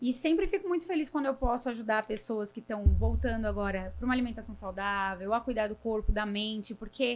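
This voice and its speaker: A woman's plain, everyday voice, fairly high and fairly quick, with ordinary pitch variation and hardly any pauses. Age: 30s. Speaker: nutritionist. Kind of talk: casual interview.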